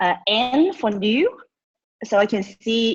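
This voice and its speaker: A woman speaks with a non-native accent. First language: not English. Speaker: social media trainer. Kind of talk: webinar training. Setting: video call. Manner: animated.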